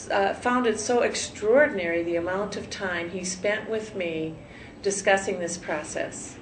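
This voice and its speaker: Speaking at a fairly slow pace in a medium pitch, a woman uses ordinary pitch variation, with audible room echo and noticeable background noise. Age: 60s. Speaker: cosmetic surgery patient, nurse. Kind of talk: interview testimonial. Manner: halting, many fillers.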